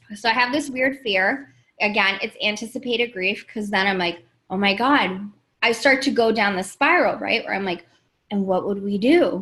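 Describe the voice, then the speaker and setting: In an American accent, a woman with a bright, sharp tone and fairly high pitch speaks at a moderate pace with ordinary pitch variation. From New York, Queens. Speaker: life coach. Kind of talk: livestream talk to viewers. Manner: casual, animated.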